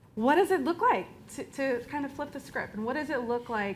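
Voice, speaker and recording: With lively intonation, a woman talks in a Southern US accent. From Florida. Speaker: movement lawyer. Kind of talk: panel discussion. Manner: halting, many fillers and restarts.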